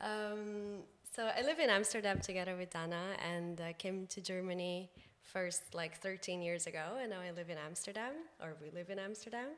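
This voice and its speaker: A woman at medium pitch and a moderate pace, with ordinary pitch variation. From Brazil. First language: Portuguese. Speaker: communications professional and podcaster. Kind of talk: casual chat. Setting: podcast recording.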